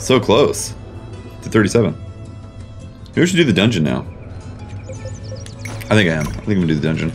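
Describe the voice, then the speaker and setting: Faint music in the background behind a man with a fairly low pitch, lively intonation, a moderate pace and long, frequent pauses. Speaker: game streamer. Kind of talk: casual gameplay commentary. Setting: playing an online game. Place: home room.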